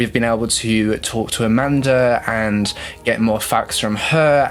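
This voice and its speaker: Noticeable background noise sits under a man's voice of medium pitch. He speaks at a fairly slow pace with fairly even intonation. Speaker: true crime YouTuber. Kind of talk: true crime video narration. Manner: hesitant, many fillers.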